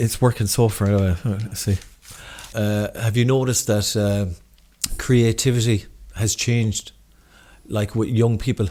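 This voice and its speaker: A man's dark, mellow voice at medium pitch with a slight Irish accent, fairly even intonation, a moderate pace, and long, frequent pauses. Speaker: podcast host. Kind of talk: casual interview chat. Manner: clear careful pronunciation.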